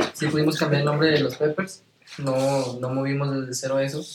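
A man with a fairly high pitch speaks in a monotone, flat intonation at a moderate pace. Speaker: singer and musician. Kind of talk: casual chat.

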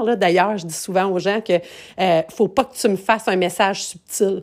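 A woman with a Quebec accent talks at a moderate pace in a medium pitch. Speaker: podcast host, event planner. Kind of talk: casual monologue. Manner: halting, many fillers.

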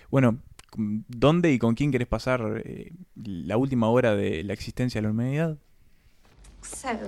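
A man with a Uruguayan accent speaks at medium pitch and a fairly slow pace. He leaves long, frequent pauses. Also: ordinary pitch variation. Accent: Uruguayan Spanish (Rioplatense). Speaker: film podcast co-host. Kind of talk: casual chat.

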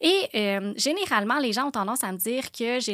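A woman's bright, sharp voice in a Quebec accent at a fairly slow pace, dry and close with no echo, on a very clean recording with a silent background. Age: 30s. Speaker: aesthetic clinic owner. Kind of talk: casual monologue. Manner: halting.

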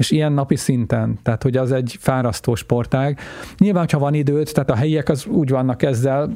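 Noticeable background noise behind a fairly quick man with ordinary pitch movement. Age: 50s. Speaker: world traveler. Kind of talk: interview. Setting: studio.

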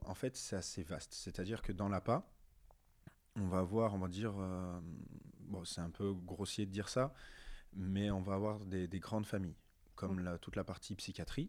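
At a moderate pace, a man with a fairly low pitch and fairly even intonation leaves long, frequent pauses. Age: 30s. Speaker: adapted physical activity teacher. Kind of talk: interview.

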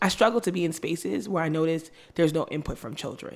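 In a New York accent, a woman speaks fairly quickly at a fairly low pitch. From New York (Brooklyn and Long Island), Caribbean family. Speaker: teacher and school founder. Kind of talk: interview conversation.

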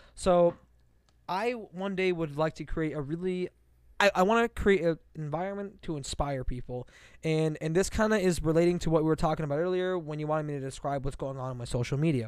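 Speaking at a fairly quick pace, a man has a fairly high pitch and ordinary pitch variation. The recording is very clean and the background silent. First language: Farsi. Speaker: podcast co-host, comedian and pre-med student. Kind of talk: casual chat. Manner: animated.

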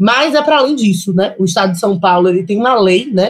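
A woman speaks at a moderate pace and medium pitch, somewhat breathy, with very wide pitch swings. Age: 30s. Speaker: lawyer and city councillor. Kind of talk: panel discussion.

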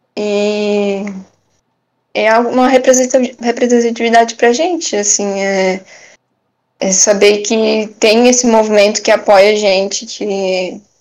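At a very slow pace, a woman talks in a fairly high pitch with fairly even intonation. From Brusque, Santa Catarina, southern Brazil. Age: 20s. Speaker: barista. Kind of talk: interview.

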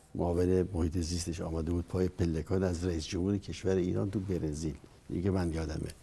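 Speaking at a very fast pace, a man with a very deep, low pitch and a dark, mellow, somewhat breathy tone keeps his intonation fairly even and his loudness very even. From Iran, Dezful (Khuzestan). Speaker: former political adviser, university professor. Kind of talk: interview.

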